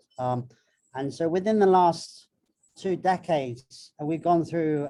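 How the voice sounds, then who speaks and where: With a British accent, the speaker keeps to a moderate pace. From Britain. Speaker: marine biologist and filmmaker. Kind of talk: panel talk. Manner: halting.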